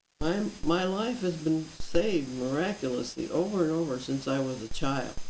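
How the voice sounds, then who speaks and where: A woman speaks with a very deep, low pitch and lively intonation. Room echo is audible, and background noise is noticeable. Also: moderate pace. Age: 70s. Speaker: author and religious commentator. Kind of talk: personal testimony and religious commentary. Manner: earnest, preaching.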